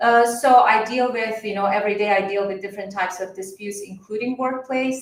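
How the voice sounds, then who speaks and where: A woman's voice with an Iranian accent amid noticeable background noise. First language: Farsi. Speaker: mediator and attorney. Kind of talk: panel discussion.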